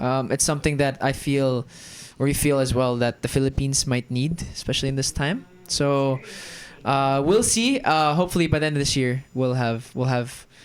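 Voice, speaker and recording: With music playing behind him, a man with an American accent speaks at a moderate pace, his fairly high pitch showing ordinary variation. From Germany. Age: 20s. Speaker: actor and creative entrepreneur. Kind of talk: casual podcast chat.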